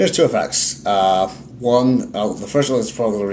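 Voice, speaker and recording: Ordinary pitch variation in a male voice. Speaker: card game YouTuber. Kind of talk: casual chat. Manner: fast.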